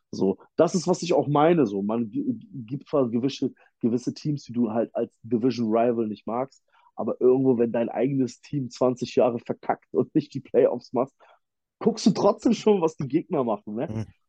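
Recorded dry and close with no echo, a man with a medium pitch speaks in a dark, mellow tone with lively intonation. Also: moderate pace. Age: 30s. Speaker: football fan guest, former player. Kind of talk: casual sports chat.

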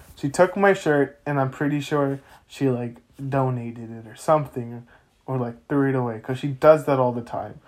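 This man has a plain, everyday voice at medium pitch, with ordinary pitch variation and big swings in loudness. He talks at a moderate pace on a very clean recording with a silent background. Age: 20s. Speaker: podcast co-host. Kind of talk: casual chat.

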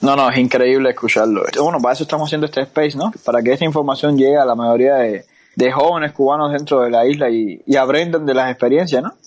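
A man speaks very fast in a fairly high pitch. The background is quiet. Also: ordinary pitch variation, hardly any pauses. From Cuba. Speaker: podcast host. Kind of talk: casual interview. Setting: online audio room.

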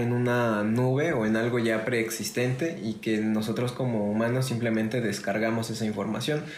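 A man at a fairly slow pace, medium pitch and fairly even intonation, with audible room echo. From Mexico, Orizaba, Veracruz. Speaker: podcast host and musician. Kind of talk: casual chat.

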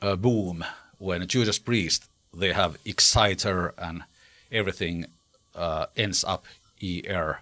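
In a Finnish accent, a man speaks at a fairly low pitch with fairly even intonation. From Finland. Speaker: rock singer. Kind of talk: interview. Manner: halting.

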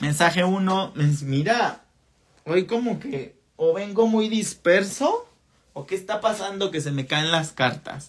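The man's high voice carries lively intonation while he moves at a very slow pace. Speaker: podcast host and spiritual channeler. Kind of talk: live-streamed spiritual talk. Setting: live stream. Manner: warm and conversational. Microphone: voice distorts from laggy stream.

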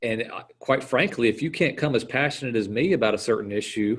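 A man with an American accent speaks at medium pitch in an unremarkable speaking voice, with ordinary pitch variation, in a very clean recording with a silent background. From South Carolina, US South. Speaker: water plant outreach speaker. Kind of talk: casual chat.

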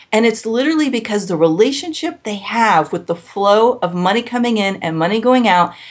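A woman talks in an ordinary speaking voice. Her pitch is fairly high and her intonation lively. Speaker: business coach and speaker. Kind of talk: interview conversation.

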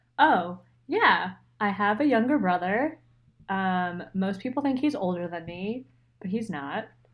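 In a very clean recording with a silent background, a woman at medium pitch with an American accent speaks fairly slowly with lively intonation and long, frequent pauses. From Pennsylvania, near Philadelphia. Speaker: podcast co-host and designer. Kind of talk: casual chat.

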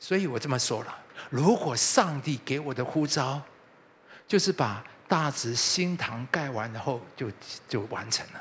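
His intonation is lively, the pace fairly slow, with long, frequent pauses. This man has a fairly high, somewhat breathy voice. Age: 60s. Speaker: pastor. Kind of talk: sermon.

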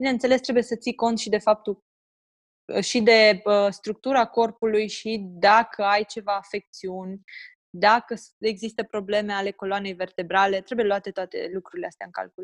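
In a normal speaking voice, a woman of medium pitch talks at a moderate pace with fairly even intonation and big swings in loudness, the sound dry and close with no echo over a quiet background. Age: 20s. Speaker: personal trainer for mothers. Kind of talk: interview, casual chat.

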